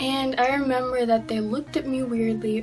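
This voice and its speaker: The woman keeps a moderate pace and ordinary pitch variation. Behind her, music is playing. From Filipino-Mexican heritage. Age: young. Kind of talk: casual talk to camera.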